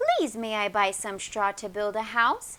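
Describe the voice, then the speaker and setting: Putting on a character voice, a woman talks at a moderate pace. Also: fairly high pitch for a woman. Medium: read story.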